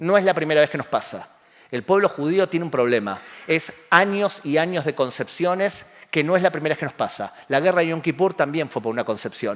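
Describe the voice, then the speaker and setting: In a plain, everyday voice, a man speaks at a fairly quick pace with lively intonation and a fairly high pitch. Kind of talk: public talk with audience questions. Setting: community center with live audience.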